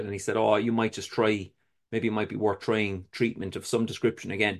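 Fairly quick speech in a Cork accent against a quiet background. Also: man. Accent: Cork Irish. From Ireland, Cork City. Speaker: recovering addict sharing his story. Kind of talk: testimony.

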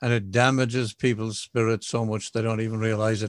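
A man speaks at a medium pitch with fairly even intonation, his voice dry and close with no echo on a very clean recording over a silent background. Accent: Irish. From southwest Ireland (County Kerry). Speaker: recovering alcoholic speaker. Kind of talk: testimony.

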